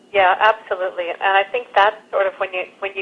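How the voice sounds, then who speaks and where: Using an ordinary speaking voice, a woman talks at a medium pitch. Her pace is moderate and her intonation fairly even. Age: 60s. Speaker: documentary filmmaker. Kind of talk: interview.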